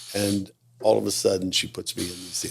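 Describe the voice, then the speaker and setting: A man's very deep, low, somewhat breathy voice with fairly even intonation. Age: 60s. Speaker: retired mall leasing executive. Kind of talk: casual interview chat.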